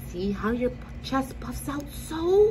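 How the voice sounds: A put-on character voice. Loud noise fills the background.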